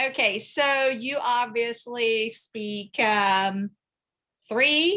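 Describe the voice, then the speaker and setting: Speaking very slowly, a woman uses a fairly high pitch and a bright, sharp tone with ordinary pitch variation. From Japan. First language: Cambodian. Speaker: interviewer for student-athletes. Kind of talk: casual interview.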